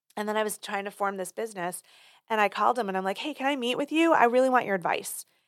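On a very clean recording with a silent background, a woman with a fairly high voice speaks very fast with ordinary pitch variation. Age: 50s. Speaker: PR and marketing firm owner, writer. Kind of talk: casual interview chat.

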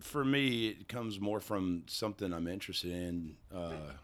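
With a Kentucky accent, a man speaks at a moderate pace. His pitch is very deep and low. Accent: Southern US (Kentucky). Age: 40s. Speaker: singer-songwriter. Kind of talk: casual chat. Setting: studio.

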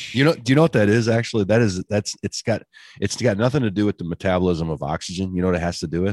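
Against a quiet background, a man with a fairly low pitch talks at a very fast pace with lively intonation. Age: 40s. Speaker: podcast co-host, medical advisor. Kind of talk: casual chat. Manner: halting, repeats words.

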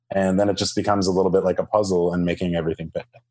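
The voice is a man's. Nothing can be heard behind him on this very clean recording. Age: 30s. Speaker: couples financial counselor. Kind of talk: interview.

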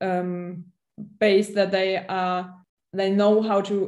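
Speaking in a German accent, a woman has a medium-pitched, dark, mellow tone and a monotone, flat intonation. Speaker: national football coach. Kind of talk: casual interview chat. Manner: halting, searching for words.

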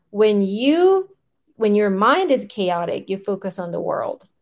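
A woman speaks in a medium pitch. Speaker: podcaster. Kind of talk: casual solo monologue, unscripted. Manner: rambling, filler-heavy, conversational.

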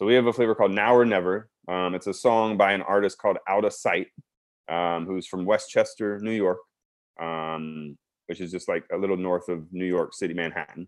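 Speaking at a moderate pace with fairly even intonation, a man with an American accent has a fairly low pitch. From South Texas. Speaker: food company founder. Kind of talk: casual interview. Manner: halting, many fillers.

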